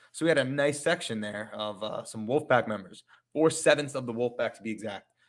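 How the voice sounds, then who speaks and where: On a very clean recording with a silent background, a man with an American accent speaks in a plain, everyday voice at medium pitch with ordinary pitch variation. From New York, Long Island. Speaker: math teacher and podcast co-host. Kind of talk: casual chat.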